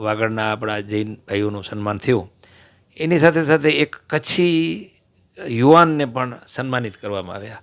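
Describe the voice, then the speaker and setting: A man with a normal speaking voice talks at medium pitch, his intonation lively and his loudness swinging widely. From Kutch, Gujarat (Vagad, Rapar). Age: 60s. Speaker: former electricity contractor and local politician. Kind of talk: interview.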